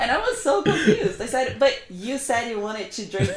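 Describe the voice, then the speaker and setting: A woman talks with a non-native accent and lively intonation. Her voice is fairly high, over noticeable background noise. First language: not English. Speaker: language educator. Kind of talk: casual chat.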